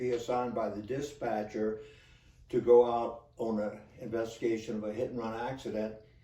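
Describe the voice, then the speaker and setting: A man's medium-pitched voice at a moderate pace, monotone and flat in intonation, with audible room echo. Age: 80s+. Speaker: retired police officer. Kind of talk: storytelling monologue. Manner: halting, many fillers.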